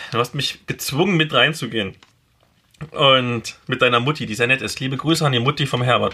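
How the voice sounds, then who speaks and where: A man speaks with an East German accent at a fairly quick pace. His medium-pitched voice has a bright, sharp tone and ordinary pitch variation. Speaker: podcast host and blogger. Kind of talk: casual chat.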